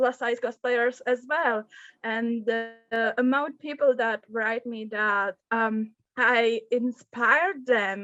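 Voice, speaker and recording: With a non-native accent, a woman speaks at a very slow pace with fairly even intonation and a fairly high pitch, her bright, sharp tone captured in a dry, close sound with no echo. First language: not English. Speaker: podcast co-host, cosplayer. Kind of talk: panel discussion. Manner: halting, many fillers.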